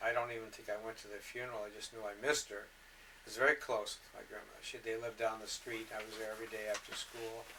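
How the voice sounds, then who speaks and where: With a Michigan accent, a man talks at a very fast pace and medium pitch in a monotone, flat intonation. His loudness swings widely. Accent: US Midwest (Michigan). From Detroit, Michigan. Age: 60s. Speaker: interviewee recounting life story. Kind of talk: oral history interview. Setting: home recording. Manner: halting.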